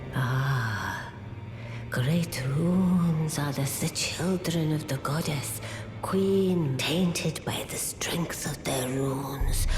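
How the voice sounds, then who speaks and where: Over loud background noise, a put-on character voice speaks very slowly at a low-to-middle pitch. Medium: video game. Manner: solemn, cryptic.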